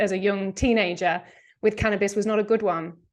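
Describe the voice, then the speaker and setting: A woman's fairly high voice with an English accent, over a quiet background. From England. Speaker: medical cannabis educator. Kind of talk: podcast interview.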